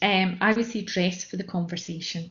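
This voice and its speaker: Somewhat breathy speech moves along at a moderate speed. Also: woman. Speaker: mentoring session trainer. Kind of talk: online training talk. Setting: online session from home dining room. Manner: hesitant with fillers.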